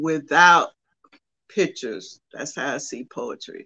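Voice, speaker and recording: A woman is talking. Her speech carries an American accent. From US South, rural southwest Georgia. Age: 80s+. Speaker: poet and author. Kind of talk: interview. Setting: radio studio.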